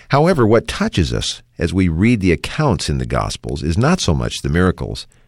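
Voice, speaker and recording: A man's very deep, low pitch with vocal fry at a moderate pace, in a very clean recording with a silent background. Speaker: radio host. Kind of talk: radio program hosting.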